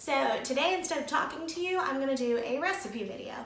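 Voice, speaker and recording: A woman's very fast, lively speech over noticeable background noise. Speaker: lifestyle blogger. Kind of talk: casual talk to camera.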